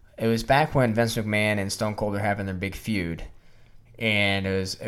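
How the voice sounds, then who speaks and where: A man, fairly low-pitched, with an ordinary speaking voice and ordinary pitch variation. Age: 30s. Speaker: wrestling podcast host. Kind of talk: casual chat.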